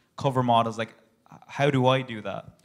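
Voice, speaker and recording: Speaking at a fairly quick pace, a man with an Irish accent holds a medium pitch in monotone, flat intonation. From Ireland. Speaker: audience member. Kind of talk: audience question. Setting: stage with audience.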